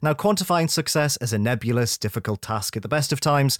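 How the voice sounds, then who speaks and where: A man with a British accent speaks in an animated tone at a medium pitch and a fairly quick pace. The recording is very clean and dry, close with no echo, over a silent background. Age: 30s. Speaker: podcast host. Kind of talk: casual chat. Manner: joking, animated.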